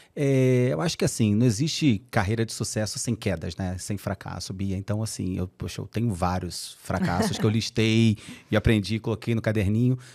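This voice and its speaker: In a Carioca accent, a man speaks at a moderate pace with hardly any pauses. His pitch varies in an ordinary way. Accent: Carioca accent, kept. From Brazil, Rio de Janeiro. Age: 40s. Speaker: HR executive. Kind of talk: podcast interview. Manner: animated.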